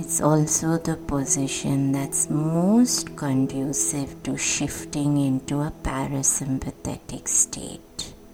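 Over music in the background, a woman with a very deep, low pitch and a soothing, calm tone speaks at a very slow pace with very wide pitch swings and hardly any pauses. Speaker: meditation guide. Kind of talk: guided sleep meditation. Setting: audio for listening in bed. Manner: slow, soothing, calm; repetitive, gentle instructional cues.

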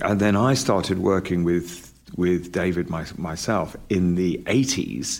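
In a very clean recording with a silent background, a man with a British accent speaks at a very slow pace and a very deep, low pitch, with ordinary pitch variation and hardly any pauses. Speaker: documentary filmmaker. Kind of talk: interview. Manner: halting.

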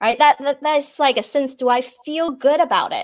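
In a very clean recording with a silent background, a woman speaks at a high pitch with a Chinese accent. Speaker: peak performance and wellness coach. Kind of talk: interview.

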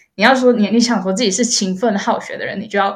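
A woman speaks in a somewhat breathy voice at a medium pitch, with ordinary pitch variation. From Malaysia. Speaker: content creator. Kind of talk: interview. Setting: remote call.

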